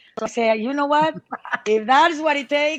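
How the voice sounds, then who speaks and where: Speaking at a very fast pace with a Spanish accent, a woman uses a high pitch with ordinary variation. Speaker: musician. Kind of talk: interview. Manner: halting.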